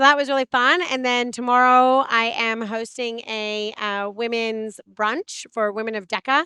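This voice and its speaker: A woman speaks at a fairly high pitch with a bright, sharp tone and fairly even intonation, the sound dry and close with no echo over a quiet background. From Canada. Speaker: web3 community builder and blockchain trainer. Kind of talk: interview. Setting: conference. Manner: casual, many filler uhs.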